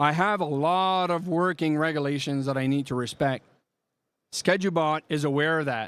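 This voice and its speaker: The recording is very clean with a silent background as a man with a fairly high voice speaks at a moderate pace and fairly even intonation. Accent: strong French Canadian. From Quebec. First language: French. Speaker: software product presenter. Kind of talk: live product demo. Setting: trade show booth with live audience.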